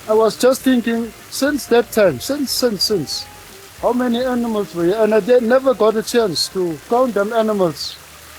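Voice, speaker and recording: The delivery holds a moderate speed, with noticeable background noise present. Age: 60s. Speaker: tour participant. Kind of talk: casual reminiscence.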